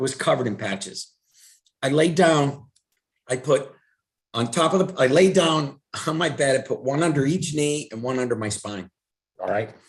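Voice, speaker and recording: A man's somewhat breathy, fairly high voice with lively intonation at a moderate pace. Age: 60s. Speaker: wellness product presenter. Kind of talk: online presentation. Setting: video call. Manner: animated.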